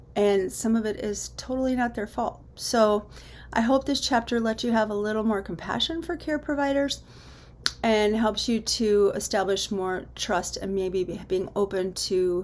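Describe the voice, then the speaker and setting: A woman uses a plain, everyday voice at a fairly high pitch. She keeps a moderate pace with ordinary pitch variation. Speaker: teacher. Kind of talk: lecture.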